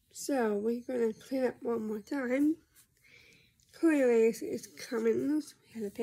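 Here a woman is speaking. Her pace is fairly slow. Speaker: vlogger. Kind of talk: casual vlog chat. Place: home room. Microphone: phone near.

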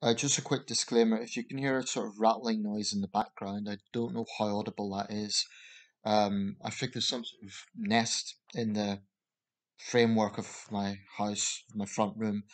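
In a plain, everyday voice, a man speaks at a moderate pace and a fairly low pitch against a quiet background. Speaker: vlogger. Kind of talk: casual vlog commentary. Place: home room. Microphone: webcam.

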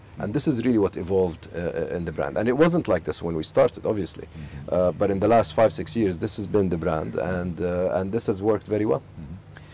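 A man speaks at a fairly quick pace with hardly any pauses, his pitch very deep and low with ordinary variation. Light background noise can be heard. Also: dry sound with no echo. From Saudi Arabia, Al Khobar; Saudi Arabia. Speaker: business executive. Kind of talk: interview. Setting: outdoors in a home garden. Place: garden. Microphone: lapel.

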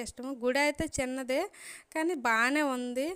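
Pitched high, a woman's voice comes through. The recording is very clean and the background silent. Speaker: family vlogger. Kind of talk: vlog narration.

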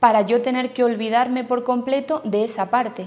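A woman's voice at a fairly high pitch. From Andalusia, Spain (Jaén). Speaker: newly qualified primary school teacher. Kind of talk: testimony. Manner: halting. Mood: relaxed, positive. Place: classroom.

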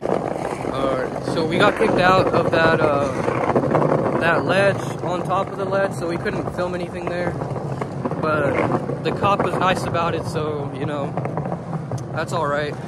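A man's voice, dry with no echo, comes through loud background noise. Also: fairly slow pace. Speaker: skater vlogger. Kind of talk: casual vlog chat. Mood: relaxed, easygoing. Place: street. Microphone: phone near.

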